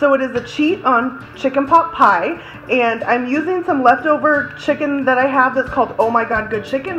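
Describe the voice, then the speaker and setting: A high-pitched woman at a moderate pace, ordinary in pitch variation, over clear background music. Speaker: home cooking vlogger. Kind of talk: tutorial. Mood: cheerful, relaxed. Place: kitchen. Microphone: phone near.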